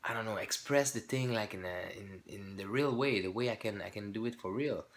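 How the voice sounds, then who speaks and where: With a French accent, a man speaks at a fairly quick pace and with ordinary pitch variation. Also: medium pitch for a man. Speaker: YouTuber, hobby channel owner. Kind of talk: casual vlog announcement. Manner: halting, many fillers and restarts.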